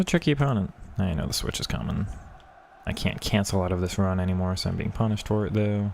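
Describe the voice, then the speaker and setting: A man talks at a very fast pace in a fairly low voice. His pitch varies in an ordinary way. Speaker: gaming streamer. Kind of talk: live gameplay commentary. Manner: lazy casual.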